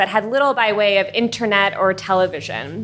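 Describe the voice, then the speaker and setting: Bright, sharp tone from a woman with an American accent, moderate in pace, on a very clean recording with a silent background. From US, Iranian family. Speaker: molecular biologist. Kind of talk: live storytelling. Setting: stage with audience.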